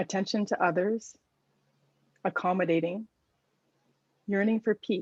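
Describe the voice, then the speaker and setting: A woman at medium pitch in a dry, close sound with no echo. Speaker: workshop organizer. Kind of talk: reading aloud chat responses.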